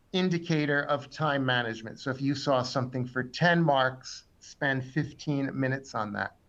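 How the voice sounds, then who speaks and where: A man speaks in an ordinary speaking voice with ordinary pitch variation. His pace is fairly slow, and the background is quiet. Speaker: exam tutor. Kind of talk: webinar lecture.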